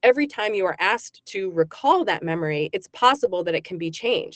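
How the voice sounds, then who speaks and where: With lively intonation and a plain, everyday voice, a woman speaks at a fairly quick pace in a dry, close sound with no echo. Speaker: psychology professor. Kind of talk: radio interview.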